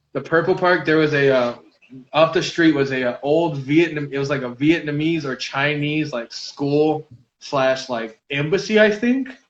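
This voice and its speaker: A man with an American accent has an unremarkable speaking voice and a fairly high pitch. He speaks at a moderate pace with ordinary pitch variation. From US Southwest, Albuquerque, New Mexico. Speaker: cannabis lifestyle influencer. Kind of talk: casual chat.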